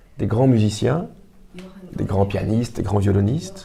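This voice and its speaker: A man with a French accent speaks with a fairly low pitch and ordinary pitch variation. Noticeable background noise can be heard. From Belgium. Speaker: writer and actor. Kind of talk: interview. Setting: Belgian embassy. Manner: halting, many hesitations.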